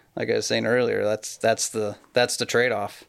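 Here a man speaks with a Pacific Northwest accent at a moderate pace. The recording is very clean, with a silent background. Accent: Pacific Northwest American. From western Washington State. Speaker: pear grower. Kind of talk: casual interview.

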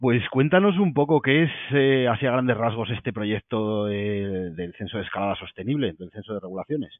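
Medium in pitch, a man speaks at a moderate pace. He leaves hardly any pauses. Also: lively intonation. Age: 40s. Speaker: podcast host. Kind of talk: interview. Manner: halting.

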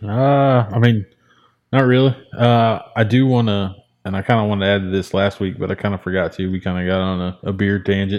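This is a man with a normal speaking voice and a fairly low pitch. He talks at a fairly quick pace with fairly even intonation. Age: 20s. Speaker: podcast co-host. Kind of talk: casual interview. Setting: race car shop.

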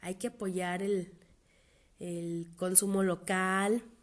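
A woman with a Mexican accent speaks at a fairly low pitch. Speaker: podcast host. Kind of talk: monologue podcast.

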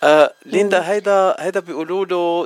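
A man's voice has a dry, close sound with no echo, set against noticeable background noise. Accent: Lebanese. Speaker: radio host. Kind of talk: radio interview. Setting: studio.

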